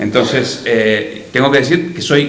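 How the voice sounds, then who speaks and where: Lively intonation marks this voice with an Argentine accent, heard through noticeable background noise and audible room echo. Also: man. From Argentina. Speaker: journalist. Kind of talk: panel talk. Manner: halting.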